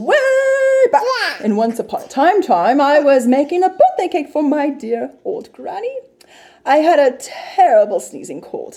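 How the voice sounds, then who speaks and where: Putting on a character voice, a woman speaks at a moderate pace in a high pitch with very wide pitch swings. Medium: read story. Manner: chatty, self-justifying.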